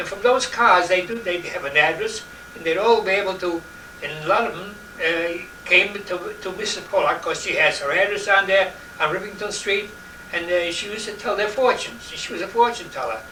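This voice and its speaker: Raising and projecting his high voice, a man with a New York accent speaks at a fairly quick pace, showing ordinary pitch variation and big swings in loudness. Audible room echo and noticeable background noise surround him. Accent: old New York. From New York City, Lower East Side. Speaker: interviewee recalling his childhood. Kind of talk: oral history interview. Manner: halting, many repetitions.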